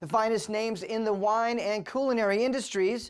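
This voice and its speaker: A normal speaking voice at a moderate pace, with ordinary pitch variation. The recording is very clean, with a silent background. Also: woman. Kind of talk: news bulletin read.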